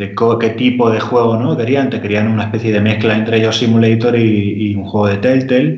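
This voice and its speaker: A man's medium-pitched voice in an Andalusian accent, fairly quick and monotone, with audible room echo. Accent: Jaén. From Andalusia, Jaén. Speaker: video game designer. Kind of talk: casual interview.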